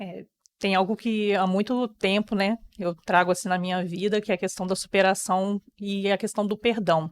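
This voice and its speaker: At a moderate pace, the speech stays monotone and flat, with a dry, close sound free of echo on a very clean recording over a silent background. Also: woman, medium pitch for a woman. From Brazil, rural Rio de Janeiro state (Campos dos Goytacazes area). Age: 30s. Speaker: interview guest sharing life story. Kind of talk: personal testimony.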